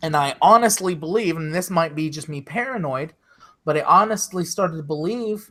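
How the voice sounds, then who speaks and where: A man's high-pitched voice with a bright, sharp tone and ordinary pitch variation. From US South, Jacksonville, Florida. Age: 30s. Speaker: live streamer. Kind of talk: casual chat.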